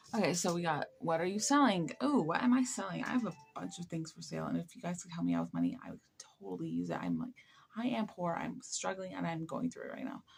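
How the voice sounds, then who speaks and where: A woman with an American accent at a very fast pace, music in the background. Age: 20s. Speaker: live streamer. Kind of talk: casual chat. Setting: late night live stream. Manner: halting.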